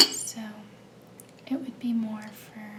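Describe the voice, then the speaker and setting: Over noticeable background noise, a woman speaks very slowly in a gentle tone, her fairly high voice flat and monotone. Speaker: ASMR creator. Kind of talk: ASMR soft-spoken show-and-tell. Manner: soft-spoken, slow, gentle.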